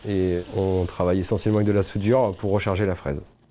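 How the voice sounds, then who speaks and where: A man's fairly low voice races at a very fast pace, his intonation fairly even. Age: 30s. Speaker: workshop foreman, heavy machinery mechanic. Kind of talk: corporate interview testimony. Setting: workshop. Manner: hesitant with frequent fillers.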